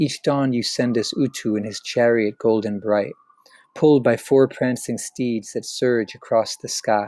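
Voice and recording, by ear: A clip of reading aloud in a natural voice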